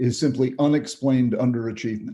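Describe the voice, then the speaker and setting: The man's tone is dark and mellow. His pitch sits in the medium range. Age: 70s. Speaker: psychiatrist. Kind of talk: interview. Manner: animated; halting.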